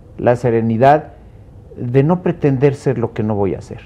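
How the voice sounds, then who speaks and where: A man speaks at a very slow pace with a medium-pitched voice. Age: 70s. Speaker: law professor. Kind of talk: TV panel discussion.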